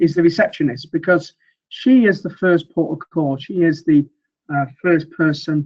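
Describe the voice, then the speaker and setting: A man with a Mancunian accent speaks at a moderate pace in a high pitch, his pitch varying in an ordinary way. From northern England, Manchester. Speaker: sales trainer. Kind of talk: webinar presentation. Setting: online webinar. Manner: hesitant, many fillers.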